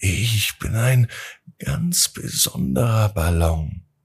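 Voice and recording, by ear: A put-on character voice, soft-spoken and breathy with a husky, rough edge. It moves at a slow pace with lively intonation. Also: man, fairly low pitch for a man.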